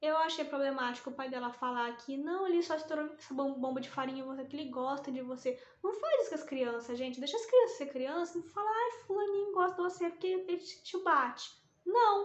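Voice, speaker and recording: Lively in intonation, a woman with a high pitch talks at a fairly quick pace. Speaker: book vlogger. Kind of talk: casual chat. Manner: fast; animated.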